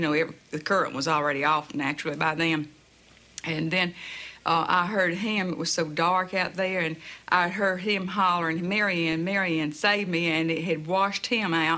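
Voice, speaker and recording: A woman with a Southern US accent speaks at a moderate pace with a fairly low pitch, fairly even intonation and a bright, sharp tone. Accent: broad southern US. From US South, Jacksonville, Florida. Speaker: hurricane survivor. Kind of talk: personal story.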